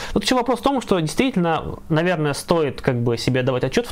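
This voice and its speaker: The speech moves at a fairly quick pace with very wide pitch swings, over noticeable background noise. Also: man. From Russia, Ivanovo. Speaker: leftist activist and stream co-host. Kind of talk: live stream discussion.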